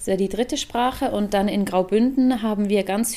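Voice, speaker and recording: Her voice has a dark, mellow tone and a medium pitch. The woman speaks at a moderate pace with fairly even intonation. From Switzerland. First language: Swiss German (speaking German). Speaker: podcast co-host. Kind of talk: casual chat.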